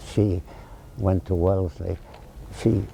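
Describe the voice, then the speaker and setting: A man speaks at a moderate pace with a very deep, low pitch. Noticeable background noise is present. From France. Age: 90s. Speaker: town founder, retired businessman and former Marine. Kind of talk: interview.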